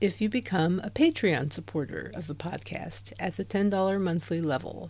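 At a moderate pace, a woman with a fairly low pitch makes very wide pitch swings. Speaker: podcast host. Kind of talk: casual interview chat. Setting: remote call.

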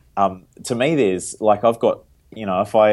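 At a fairly quick pace and with ordinary pitch variation, a speaker with a New Zealand accent talks on a very clean recording with a silent background. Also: man. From New Zealand (Wairarapa and Wellington). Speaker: tech startup CEO. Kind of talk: casual interview.

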